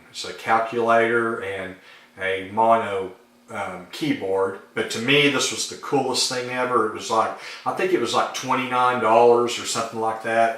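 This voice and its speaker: A man with an American accent speaks at a moderate pace in a medium pitch, his intonation fairly even, with noticeable background noise and audible room echo. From Arkansas, US South. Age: 40s. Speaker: YouTuber, synth hobbyist. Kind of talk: casual vlog talk. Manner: hesitant, many fillers.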